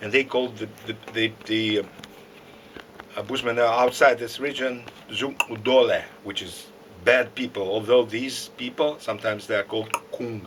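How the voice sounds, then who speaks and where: With a Russian accent, a man talks in a fairly even intonation, his loudness swinging widely, leaving long and frequent pauses over noticeable background noise. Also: medium pitch for a man, moderate pace. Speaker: lecturer. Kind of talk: lecture. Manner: halting.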